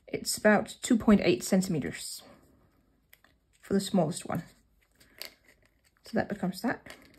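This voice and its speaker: A woman's medium-pitched voice with vocal fry, big swings in loudness, a moderate pace, and long, frequent pauses. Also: ordinary pitch variation. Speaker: craft tutorial presenter. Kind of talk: tutorial. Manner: hesitant, many fillers.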